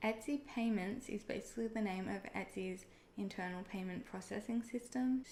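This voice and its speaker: A woman talks at a moderate pace in a medium pitch. Her pitch variation is ordinary. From Australia. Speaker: online seller and video creator. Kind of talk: tutorial. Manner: casual, conversational.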